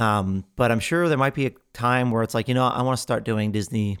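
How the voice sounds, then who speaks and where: A man with a medium pitch and ordinary pitch variation is heard on a very clean recording with a silent background, the sound dry and close with no echo. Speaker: podcast host. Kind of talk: casual solo monologue. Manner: unscripted, many fillers and restarts.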